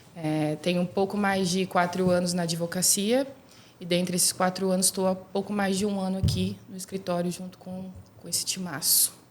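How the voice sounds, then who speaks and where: Speaking at a moderate pace with fairly even intonation, a woman of medium pitch is heard over noticeable background noise. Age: 20s. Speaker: lawyer. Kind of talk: self-introduction on podcast.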